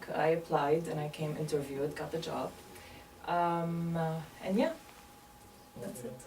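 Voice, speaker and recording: A woman with a Lebanese accent speaks at a very deep, low pitch and a fairly slow pace, leaving long, frequent pauses. Audible room echo and noticeable background noise fill the recording. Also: ordinary pitch variation. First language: Arabic. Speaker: medical interpreter. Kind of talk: interview. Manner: hesitant, many fillers.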